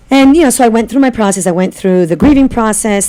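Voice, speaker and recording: A woman talks with lively intonation over noticeable background noise. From Italy (Florence). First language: Italian. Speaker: holistic practitioner. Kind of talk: interview.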